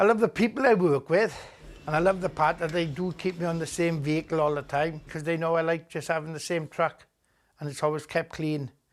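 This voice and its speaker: Fairly high pitch from a man speaking at a fairly quick pace. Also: ordinary pitch variation, very clean recording, silent background. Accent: Welsh. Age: 60s. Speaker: truck driver. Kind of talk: documentary interview.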